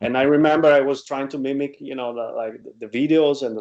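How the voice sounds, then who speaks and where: A man's medium-pitched voice, dark and mellow in tone, with an Italian accent. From Italy. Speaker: guitarist and producer. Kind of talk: interview. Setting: video call. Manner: halting.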